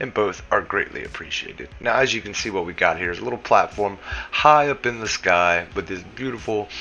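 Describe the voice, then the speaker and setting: A man talks at a fairly quick pace with a Southern US accent and ordinary pitch variation. Noticeable background noise runs underneath. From US South. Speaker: gaming YouTuber. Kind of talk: tutorial. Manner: casual.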